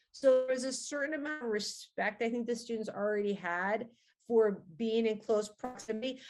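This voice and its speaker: The woman's pitch sits fairly high, with ordinary variation. She speaks at a moderate pace against a quiet background. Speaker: college science instructor. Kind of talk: interview. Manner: loud.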